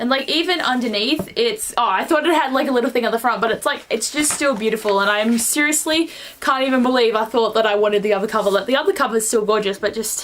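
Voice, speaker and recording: Amid noticeable background noise, a woman with a fairly high pitch races along at a very fast pace with hardly any pauses, very even loudness and ordinary pitch variation. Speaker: book vlogger. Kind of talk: casual vlog. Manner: animated.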